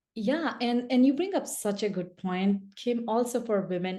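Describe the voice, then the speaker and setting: The woman speaks with a non-native accent and lively intonation. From India. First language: not English. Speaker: speaker and business coach. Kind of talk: podcast interview. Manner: halting, many false starts and fillers.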